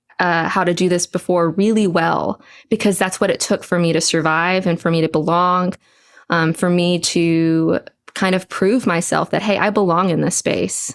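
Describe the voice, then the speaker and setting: A woman's fairly low voice with an American accent, at a moderate pace. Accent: suppressed Southern. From Texas, US South. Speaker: church abuse survivor and trauma support writer. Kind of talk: podcast interview.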